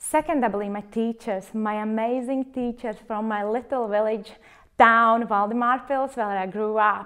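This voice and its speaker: A woman with a Latvian accent and a fairly high pitch speaks at a moderate pace with fairly even intonation in a very clean recording with a silent background. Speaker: clinical research facilitator. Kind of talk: personal testimony interview. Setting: filmed interview.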